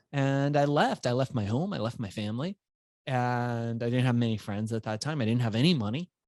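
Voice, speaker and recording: Here a man talks at a fairly quick pace in an American accent. His pitch varies in an ordinary way, and the sound is dry and close with no echo. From Iran, raised in the US from childhood. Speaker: entrepreneur and author. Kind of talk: podcast interview, personal story. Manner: animated.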